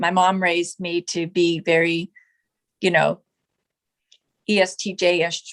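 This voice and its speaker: This is a woman's voice. Her pitch is medium. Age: 60s. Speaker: retired school teacher. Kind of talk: interview answer.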